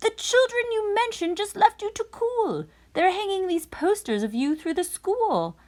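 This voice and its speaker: In an extremely high pitch, a woman puts on a character voice. She talks at a moderate pace with ordinary pitch variation. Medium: read story.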